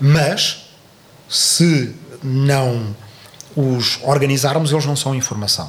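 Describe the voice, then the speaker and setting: A man's fairly high voice shows ordinary pitch variation over noticeable background noise. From southern Portugal. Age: 40s. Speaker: historian and political commentator. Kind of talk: interview. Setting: studio. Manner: halting.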